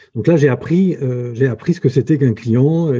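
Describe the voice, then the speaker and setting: Against a quiet background, a man speaks at a moderate pace in a somewhat breathy voice with a dark, mellow tone and ordinary pitch variation. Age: 50s. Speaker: entrepreneur. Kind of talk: interview. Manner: halting.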